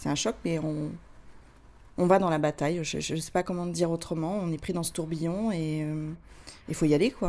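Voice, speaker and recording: This woman has a dark, mellow tone and a fairly low pitch, with fairly even intonation. She talks at a moderate pace, leaving long, frequent pauses. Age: 40s. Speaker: cancer survivor, association vice-president. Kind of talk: testimony. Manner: halting.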